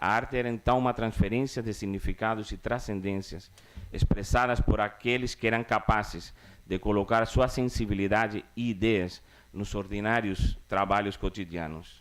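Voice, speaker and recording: A man speaks at a fairly low pitch with a Cuban accent. His pace is moderate and his intonation fairly even. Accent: Cuban-tinged Spanish accent in Portuguese. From Cuba (Havana). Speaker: cultural producer. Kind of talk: formal conference speech. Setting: conference stage with audience. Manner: formal.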